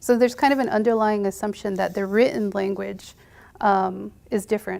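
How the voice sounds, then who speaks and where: Very clean recording with a silent background captures a woman talking at a fairly quick pace with a Navajo Nation accent. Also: medium pitch for a woman, fairly even intonation. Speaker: medical provider, panelist. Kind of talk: panel discussion. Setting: university panel event with audience.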